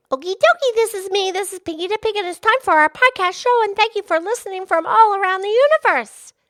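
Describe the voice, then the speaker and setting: Extremely high in pitch, a cartoonish character voice rattles along at a very fast pace. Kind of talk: podcast intro. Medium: puppet. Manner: upbeat.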